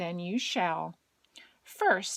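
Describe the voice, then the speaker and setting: A woman uses a put-on character voice pitched fairly low. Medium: read story.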